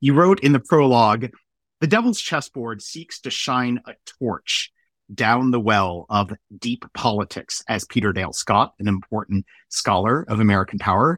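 In a very clean recording with a silent background and a dry, close sound with no echo, a man uses an ordinary speaking voice at medium pitch, a moderate pace, and lively intonation. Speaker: podcast host. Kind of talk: interview about a book, with commentary.

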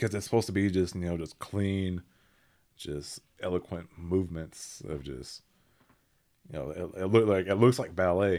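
In a very clean recording with a silent background, a man with an American accent talks at a moderate pace. His voice is very deep and low, dark and mellow in tone, with big swings in loudness. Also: ordinary pitch variation. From Oklahoma, Seminole County. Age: 20s. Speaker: actor and model. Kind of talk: casual interview chat.

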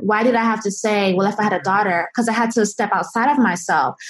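At a fairly quick pace, the voice comes across somewhat breathy. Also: woman. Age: 20s. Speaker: entrepreneur and app founder. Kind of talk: interview.

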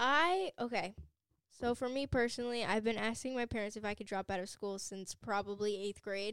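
A woman with a normal speaking voice and a fairly high pitch talks at a moderate pace with ordinary pitch variation. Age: young. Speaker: cosmetology student. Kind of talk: casual chat.

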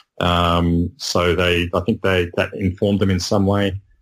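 A man's very deep, low voice in an Australian accent, monotone and flat, at a fairly slow pace, on a very clean recording with a silent background. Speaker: medical science guest. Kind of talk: casual chat. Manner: halting.

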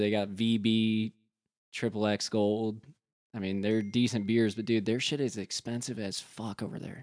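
Against a quiet background, a man speaks in a plain, everyday voice at medium pitch and a moderate pace. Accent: American. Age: 20s. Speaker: mortgage professional. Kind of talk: casual chat.

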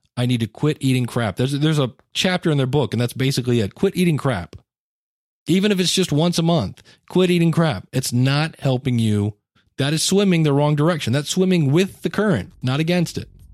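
A man with a fairly high pitch and a slightly mellow tone speaks at a fairly quick pace with lively intonation. The recording is very clean, with a silent background.

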